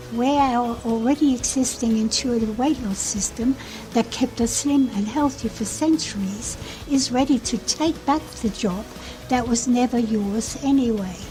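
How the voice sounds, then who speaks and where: A woman's high voice, varying in pitch in an ordinary way, comes through with music playing behind her. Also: fairly slow pace. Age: 70s. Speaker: health author. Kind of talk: scripted narration. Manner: formal.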